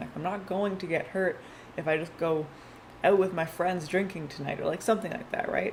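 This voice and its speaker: A woman with fairly low pitch talks at a fairly quick pace, with ordinary pitch variation. Background noise is noticeable and room echo can be heard. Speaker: tarot reader. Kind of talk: tarot reading. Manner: fast; casual.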